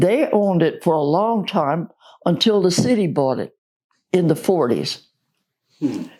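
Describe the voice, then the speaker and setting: With an American accent, a woman speaks at medium pitch in a dark, mellow tone, moving at a fairly slow pace with long, frequent pauses and very wide pitch swings. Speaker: oral history interviewee, church member. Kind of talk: oral history interview answer.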